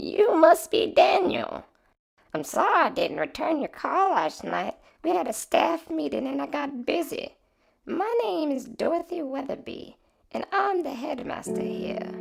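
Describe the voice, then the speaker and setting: A man puts on a raspy character voice pitched extremely high. He speaks at a moderate pace. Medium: read story.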